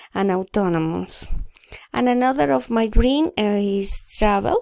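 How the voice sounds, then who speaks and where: A woman speaks at a fairly slow pace, her medium-pitched voice carrying a dark, mellow tone. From Colombia, Bogotá. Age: 30s. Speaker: student. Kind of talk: reading aloud. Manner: halting.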